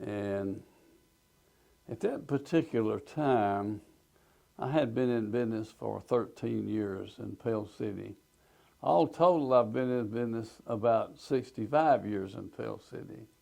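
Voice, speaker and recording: At a fairly slow pace, a man with an Alabama accent speaks in a dark, mellow tone at a medium pitch. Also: ordinary pitch variation, big swings in loudness. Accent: Southern US (Alabama). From US South, Alabama. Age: 80s+. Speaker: retired businessman, tornado witness. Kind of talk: oral history testimony.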